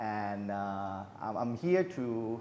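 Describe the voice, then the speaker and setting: There is audible room echo as a man speaks at a fairly low pitch. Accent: Thai. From Thailand. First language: Thai. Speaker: business consultant. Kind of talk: interview.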